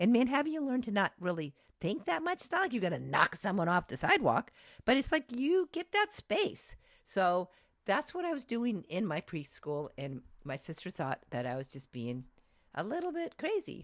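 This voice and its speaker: A loud woman of medium pitch with vocal fry and very wide pitch swings at a moderate pace, the sound dry and close with no echo on a very clean recording with a silent background. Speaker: college lecturer. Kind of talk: lecture. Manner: halting, many false starts.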